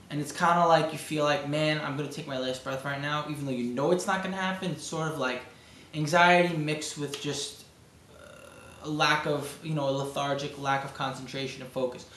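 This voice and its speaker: A man with a Brooklyn accent talks at a fairly quick pace in a fairly high pitch with fairly even intonation, amid noticeable background noise and audible room echo. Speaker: amateur bodybuilder vlogger. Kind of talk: video diary. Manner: halting.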